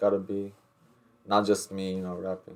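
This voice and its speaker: A man talks at a moderate pace in an Albanian accent. His pitch is fairly low. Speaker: rapper. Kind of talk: casual interview chat. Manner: halting, many repeated words.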